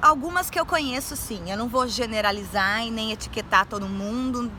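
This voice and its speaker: This woman's voice is high-pitched with a bright, sharp tone, and her lively intonation moves at a fairly slow pace. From Brazil, Campinas, São Paulo state. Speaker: university lecturer. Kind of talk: interview.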